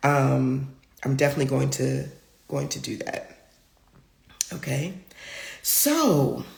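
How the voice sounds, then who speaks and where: The speech moves at a very slow pace. Room echo is audible throughout. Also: woman. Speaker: spiritual healer and live-stream host. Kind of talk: live-stream talk. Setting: live stream on social media.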